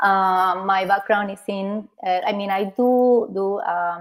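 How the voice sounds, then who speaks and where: A woman at a medium pitch, speaking at a fairly slow pace in a Spanish accent. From Argentina. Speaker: therapist. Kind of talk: casual chat. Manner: halting.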